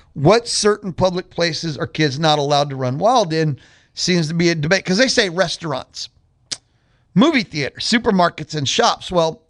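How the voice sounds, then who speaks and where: A man talks loudly at a high pitch with lively intonation. The sound is dry and close with no echo, over a quiet background. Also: moderate pace. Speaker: radio host. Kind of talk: radio talk show monologue.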